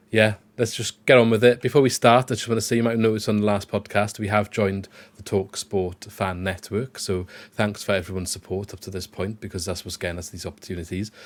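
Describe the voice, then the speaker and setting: On a very clean recording with a silent background, a man with a South Wales accent speaks very fast at a fairly low pitch, his intonation fairly even but his loudness swinging widely. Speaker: football podcast host. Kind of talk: casual chat.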